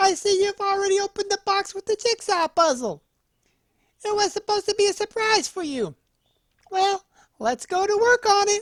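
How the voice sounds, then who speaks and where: A squeaky, extremely high put-on character voice moves at a moderate pace, broken by long, frequent pauses. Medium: read story. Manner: warm, gentle.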